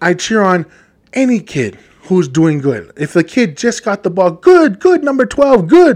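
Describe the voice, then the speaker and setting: Loud and animated, a man speaks at a high pitch and a fairly slow pace with very wide pitch swings. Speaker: podcast host. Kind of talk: solo monologue podcast. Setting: studio microphone.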